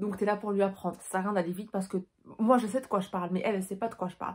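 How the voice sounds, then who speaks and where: A woman speaks at a medium pitch in a monotone, flat intonation. Her voice is somewhat breathy. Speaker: beauty sales advisor and vlogger. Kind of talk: casual vlog talk to camera. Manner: very fast; careful articulation.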